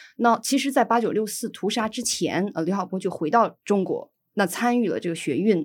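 At a fairly quick pace, a woman speaks at a medium pitch with ordinary pitch variation in a very clean recording with a silent background. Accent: northeastern Chinese. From Inner Mongolia, northern China. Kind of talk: casual interview chat.

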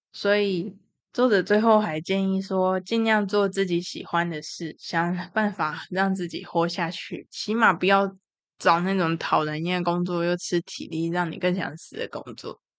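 A woman talks in an ordinary speaking voice at a medium pitch. Her pace is fairly slow and her intonation fairly even. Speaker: podcast host with depression. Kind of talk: casual monologue.

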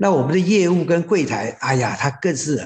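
With vocal fry in his voice, a man talks at a moderate pace using lively intonation. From Taiwan, raised in Hsinchu (Zhudong). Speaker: rural hotel operator. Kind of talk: interview.

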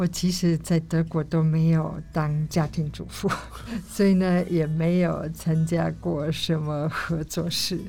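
A woman speaks with a German accent in a very deep, low voice. Her pace is very slow and her intonation monotone and flat. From Germany. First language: German (speaking Chinese). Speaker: co-op member. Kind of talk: interview.

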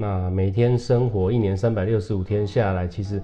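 A man talks in an unremarkable speaking voice. His pitch is fairly low. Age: 40s. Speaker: spiritual hall leader and entrepreneur. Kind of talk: casual interview.

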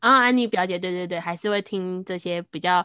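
Her tone is bright and sharp, with lively intonation. The woman talks at a fairly quick pace. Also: very clean recording, silent background. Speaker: podcaster and trainer. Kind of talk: casual chat. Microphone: new microphone.

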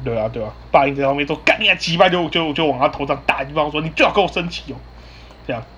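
Delivered at a very fast pace with ordinary pitch variation, the speech comes in a Taiwanese accent. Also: man, fairly high pitch for a man. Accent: Taiwanese Mandarin. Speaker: podcast host. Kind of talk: casual chat. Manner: halting, many repeated words.

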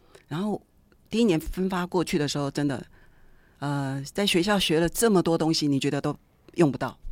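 With long, frequent pauses, a woman speaks in a very deep, low voice on a very clean recording with a silent background. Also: ordinary pitch variation, fairly quick pace. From Taiwan, Taichung. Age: 50s. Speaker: middle school art teacher. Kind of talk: interview.

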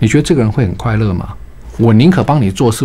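At a very fast pace, a man talks with lively intonation in a fairly low pitch. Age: 60s. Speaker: retired bank executive, author. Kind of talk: radio interview. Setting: radio studio.

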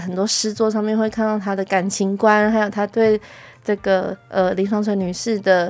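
A woman uses a normal speaking voice at a medium pitch and a moderate pace. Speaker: music ensemble administrator. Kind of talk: interview chat. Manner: laughs often.

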